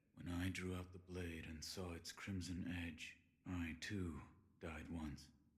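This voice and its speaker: A man puts on a character voice with a very deep, low pitch. He talks in a flat monotone at a fairly slow pace. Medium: video game. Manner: terse, flat.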